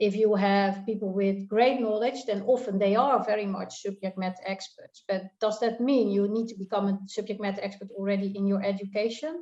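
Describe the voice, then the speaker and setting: A woman talks at a fairly quick pace with hardly any pauses, in a Dutch accent. Her tone is dark and mellow, her pitch medium, and her intonation fairly even. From Netherlands. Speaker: tax consultant. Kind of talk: panel discussion. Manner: halting.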